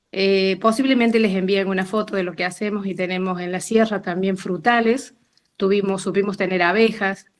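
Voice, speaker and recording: Talking at a fairly quick pace, a woman with a plain, everyday voice speaks at medium pitch with fairly even intonation. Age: 60s. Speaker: participant sharing experience. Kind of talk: testimony.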